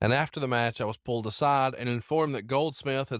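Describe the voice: Simply plain reading aloud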